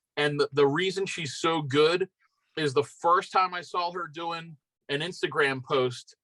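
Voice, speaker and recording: This voice carries a Philadelphia accent. Its tone is bright and sharp, and the pace is fairly slow. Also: man, fairly high pitch for a man, dry, close sound with no echo. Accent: Philly. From Philadelphia area, Pennsylvania. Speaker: BMX rider. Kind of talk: casual chat.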